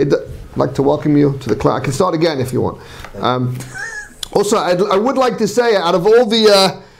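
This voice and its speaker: A man with a high pitch for a man talks at a fairly quick pace, his pitch swinging very widely. Audible room echo and noticeable background noise are present. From Manchester, England. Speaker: rabbi. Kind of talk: lecture. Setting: class with live audience, on sound system. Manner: halting, many fillers and repetitions.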